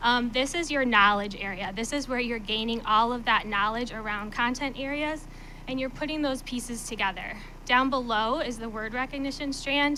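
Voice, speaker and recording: A woman speaks in a high pitch with fairly even intonation. Room echo is audible. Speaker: literacy coach. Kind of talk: presentation. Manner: fast; hesitant, many fillers.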